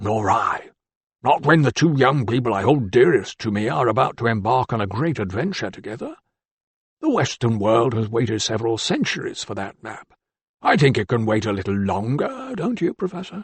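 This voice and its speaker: A gruff, put-on character voice from a man, medium in pitch, at a moderate pace with lively intonation. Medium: read story. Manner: gruff, barking.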